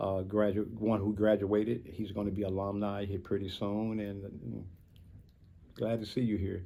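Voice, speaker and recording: A dark, mellow tone comes at a moderate pace, with audible room echo. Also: man. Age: 60s. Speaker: man in addiction recovery. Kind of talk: personal testimony in interview. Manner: halting with many fillers.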